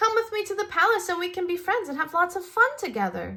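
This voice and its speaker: A put-on, squeaky character voice, raised and projected, at a very fast pace. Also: woman, extremely high pitch for a woman. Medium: read story.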